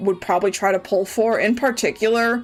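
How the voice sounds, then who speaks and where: Over noticeable background noise, a woman talks at a moderate pace with a fairly high pitch. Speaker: vtuber streamer. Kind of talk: live game stream chat. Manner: loud; animated.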